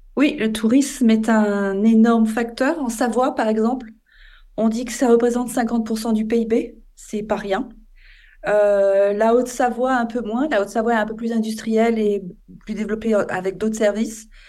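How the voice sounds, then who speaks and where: Audible room echo surrounds a woman with a fairly high pitch. Her tone is dark and mellow, and her intonation fairly even. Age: 50s. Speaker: environmental association founder. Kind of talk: interview.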